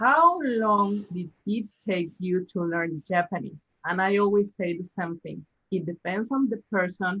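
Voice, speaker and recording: Speaking at a fairly slow pace with a Spanish accent, a woman keeps a medium pitch and ordinary pitch variation. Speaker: language teacher. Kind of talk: casual chat. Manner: halting.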